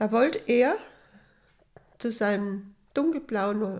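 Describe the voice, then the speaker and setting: Here a woman speaks at a very slow pace. Her pitch varies in an ordinary way. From Hesse, Germany. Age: 80s+. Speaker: retiree telling her life story. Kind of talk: life story interview. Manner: halting.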